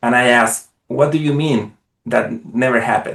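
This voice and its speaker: With a non-native accent, a man speaks at a moderate pace with fairly even intonation. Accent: non-American foreign. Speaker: parenting community co-host. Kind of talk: webinar presentation. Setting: live online session. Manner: hesitant, many filler uhs.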